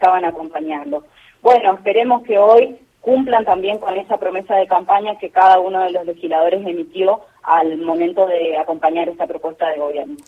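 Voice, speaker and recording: This is a woman with an ordinary speaking voice. She talks at a moderate pace with lively intonation. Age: 30s. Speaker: senator. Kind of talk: radio interview.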